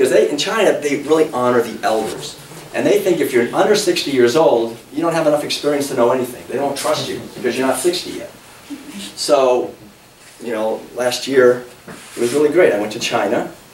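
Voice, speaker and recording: A man with an American accent speaks at a fairly quick pace. Noticeable background noise and audible room echo surround him. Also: fairly high pitch for a man, ordinary pitch variation. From New England (Massachusetts). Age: 60s. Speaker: author and speaker. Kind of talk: public talk. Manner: animated.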